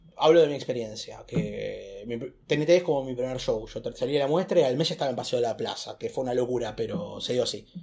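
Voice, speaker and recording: At a fairly quick pace, a man talks with hardly any pauses. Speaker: stand-up comedian. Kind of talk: casual chat. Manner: loud, shouting; animated.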